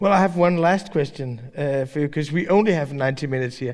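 A man with a Danish accent at a very fast pace, with ordinary pitch variation. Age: 40s. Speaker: newspaper editor. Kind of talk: public interview on stage. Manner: halting.

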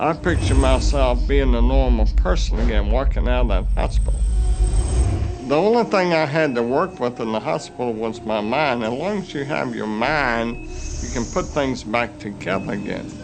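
There is noticeable background noise in this clip. A man speaks at a moderate pace. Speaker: accident survivor. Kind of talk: testimony.

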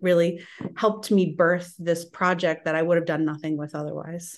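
A woman with a normal speaking voice, fairly low in pitch, at a moderate pace against a quiet background. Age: 30s. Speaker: author and illustrator. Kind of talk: casual interview chat.

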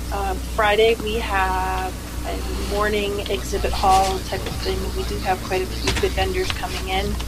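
The speech is monotone and flat at a fairly slow pace. Audible room echo and noticeable background noise fill the recording. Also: woman, very deep, low pitch for a woman. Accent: American. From upstate New York. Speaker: caller, hotel worker. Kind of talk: casual chat.

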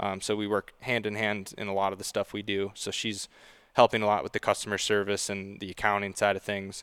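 Fairly low in pitch, a man speaks at a fairly quick pace with monotone, flat intonation. The sound is dry and close with no echo, on a very clean recording with a silent background. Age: 20s. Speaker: merchandise manager. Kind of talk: casual chat.

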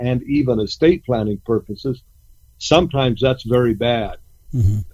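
A man's medium-pitched voice, a bit breathy, moves at an even, moderate tempo with normal rises and falls in pitch. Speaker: ranch consultant and coach. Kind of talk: casual radio interview.

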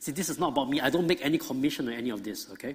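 A man's fairly high voice at a very fast pace. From Singapore. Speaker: creation ministry speaker. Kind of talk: church talk/lecture. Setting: church, live audience.

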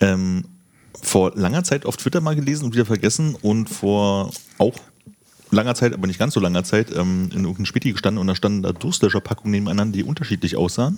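A man with a fairly low pitch talks at a very fast pace with ordinary pitch variation. Noticeable background noise runs underneath. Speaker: podcaster. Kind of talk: casual chat.

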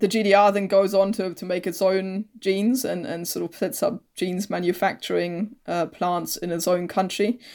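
With a German accent, a woman speaks at medium pitch and a moderate pace with fairly even intonation, hardly any pauses, and big swings in loudness, on a very clean recording with a silent background. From East Germany. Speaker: historian. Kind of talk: interview.

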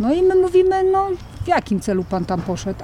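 Over noticeable background noise, a woman talks at a fairly quick pace, her pitch swinging very widely. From Mazovia, Poland. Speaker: park volunteer coordinator. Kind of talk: casual interview. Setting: volunteer lodge in the mountains.

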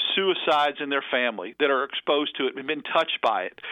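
With lively intonation, this man's speech moves at a fairly quick clip. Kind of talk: radio interview. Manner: warm, earnest, animated.

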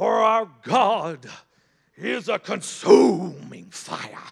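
This is a put-on character voice with a growl. It moves at a very slow pace. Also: man, high pitch for a man. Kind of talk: preacher's sermon delivery. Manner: fiery, dramatic, frightening.

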